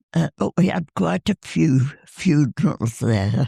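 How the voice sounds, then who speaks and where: With a very deep, low pitch and a dark, mellow tone, a woman speaks very slowly with vocal fry, in a dry, close sound with no echo. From northern England. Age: 80s+. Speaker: war veteran. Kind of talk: interview.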